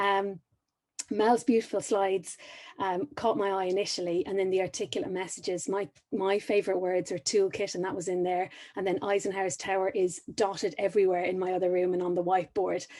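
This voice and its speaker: With an Irish accent, a woman talks at a fairly quick pace in a medium pitch, using a dark, mellow tone and fairly even intonation over a quiet background. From Ireland. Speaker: high performance coach. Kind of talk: conference talk.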